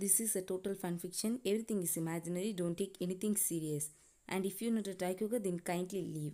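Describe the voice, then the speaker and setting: Talking at a very fast pace, a woman uses a dark, mellow tone with a medium pitch and fairly even intonation. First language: not English. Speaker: fan fiction channel creator. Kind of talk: casual intro to viewers.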